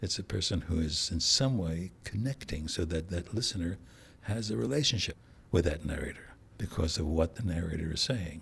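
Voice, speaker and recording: The speaker keeps a moderate pace with lively intonation. The voice is somewhat breathy. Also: man, very deep, low pitch for a man. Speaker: audiobook narrator. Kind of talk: interview.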